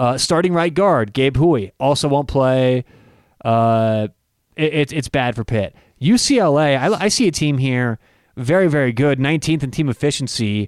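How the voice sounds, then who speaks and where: In a normal speaking voice, a man of fairly high pitch talks at a moderate pace with ordinary pitch variation, on a very clean recording with a silent background and a dry, close sound with no echo. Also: very even loudness. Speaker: podcast host. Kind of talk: casual chat.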